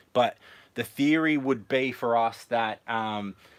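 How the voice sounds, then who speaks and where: Ordinary pitch variation from a man with an Australian accent. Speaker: family vlogger. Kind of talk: live stream tour of van build. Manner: fast; hesitant, many fillers.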